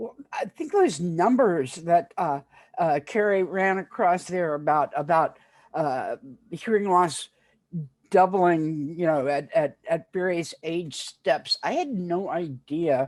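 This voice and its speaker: A woman's very slow, fairly low-pitched speech with ordinary pitch variation, against a quiet background. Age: 70s. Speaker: community health worker. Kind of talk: panel discussion. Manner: halting, many fillers.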